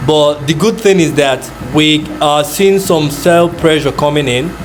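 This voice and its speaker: A man with a Nigerian accent talks at a fairly slow pace, his fairly high pitch varying in an ordinary way. Music plays in the background, and the room adds audible echo. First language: not English; Nigerian language. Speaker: forex trader. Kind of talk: live trading commentary. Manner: casual, thinking aloud with fillers.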